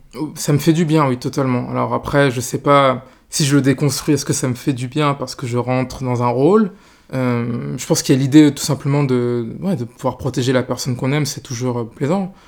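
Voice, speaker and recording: Speaking at a fairly quick pace, the man keeps a medium pitch and fairly even intonation. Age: 20s. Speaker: interview guest on relationships. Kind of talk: personal interview. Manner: halting, many hesitations.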